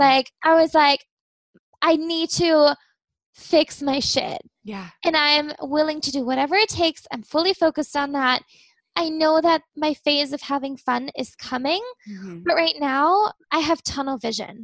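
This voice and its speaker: A woman with an American accent speaks at a fairly slow pace in a high pitch. Her intonation is lively, and the sound is dry and close with no echo. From Germany, American family. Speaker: success coach and energy healer. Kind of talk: personal testimony in interview.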